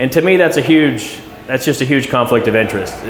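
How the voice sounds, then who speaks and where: Background noise is noticeable, and the room echoes audibly. A man talks at a fairly quick pace. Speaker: school board candidate. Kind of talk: community meet and greet Q&A. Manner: loud.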